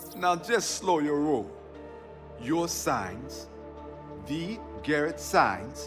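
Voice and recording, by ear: A man's put-on character voice, fairly high and fairly bright in tone, with big pitch swings at a very slow pace over faint music in the background.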